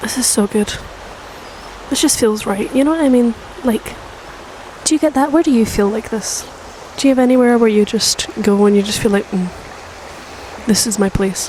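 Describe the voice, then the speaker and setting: A soft-spoken woman at a moderate pace with long, frequent pauses and ordinary pitch variation, over noticeable background noise. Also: fairly high pitch for a woman. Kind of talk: casual ASMR talk to camera, rambling. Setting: outdoors by a river. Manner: soft-spoken, rambling.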